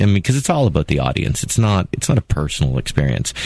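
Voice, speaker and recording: With a Canadian accent, a man talks very fast with lively intonation. Noticeable background noise runs behind him. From Toronto, Canada. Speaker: orchestra conductor. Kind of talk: radio interview. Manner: hesitant, many fillers.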